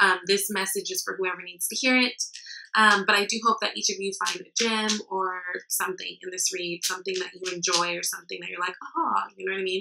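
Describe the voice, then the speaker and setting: A woman talks at a fairly quick pace, her medium pitch held in fairly even intonation. Her loudness swings a lot, and there is noticeable background noise. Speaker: tarot reader. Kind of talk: tarot reading to camera. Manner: fast; many filler ums.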